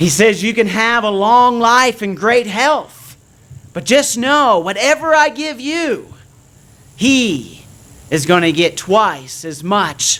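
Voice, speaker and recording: A man speaks very slowly in a high pitch, with a bright, sharp tone and very wide pitch swings. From Nova Scotia, Canada. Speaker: preacher. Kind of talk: sermon.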